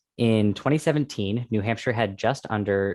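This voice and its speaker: Fairly low in pitch, a man with a normal speaking voice talks at a fairly quick pace, the sound dry and close with no echo over a quiet background. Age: young. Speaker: podcast co-host. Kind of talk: podcast chat with scripted statistics.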